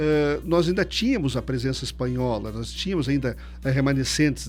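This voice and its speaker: Someone with a southern Brazilian accent speaks at a fairly quick pace, with audible room echo and music in the background. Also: man. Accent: gaúcho. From Rio Grande do Sul, Missões region, Brazil. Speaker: researcher and writer. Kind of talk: radio interview.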